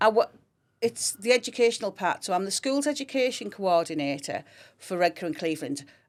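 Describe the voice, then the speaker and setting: On a very clean recording with a silent background, a woman with a Teesside accent talks at a fairly quick pace in a medium pitch with lively intonation. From Teesside, northeast England (Grangetown). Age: 50s. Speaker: fire service schools education coordinator. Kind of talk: podcast interview.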